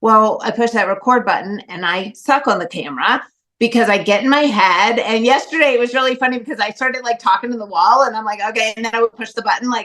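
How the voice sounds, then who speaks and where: Very fast and animated, a woman speaks at a fairly high pitch with ordinary pitch variation. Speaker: course participant. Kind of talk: testimony. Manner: loud.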